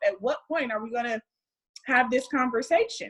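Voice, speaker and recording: A woman with an American accent, an unremarkable speaking voice, at a moderate pace. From United States. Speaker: wellness speaker. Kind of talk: casual interview chat.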